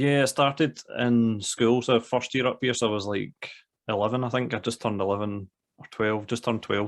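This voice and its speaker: In a Scottish accent, the speaker talks at a moderate pace with monotone, flat intonation on a very clean recording with a silent background. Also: man. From Scotland, Glasgow area. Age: 30s. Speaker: music teacher. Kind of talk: casual chat.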